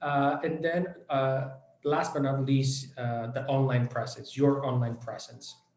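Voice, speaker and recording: A man with a Spanish accent at a moderate pace, with audible room echo. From Venezuela. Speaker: education company director. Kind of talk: online workshop presentation. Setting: online event. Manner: many hesitations and fillers.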